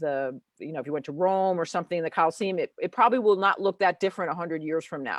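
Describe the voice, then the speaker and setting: With an American accent, a woman speaks in a fairly low pitch with ordinary pitch variation, the sound dry and close with no echo against a quiet background. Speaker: founder of a photo organizing association and author. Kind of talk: interview on a live show, explaining a method. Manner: fast; animated.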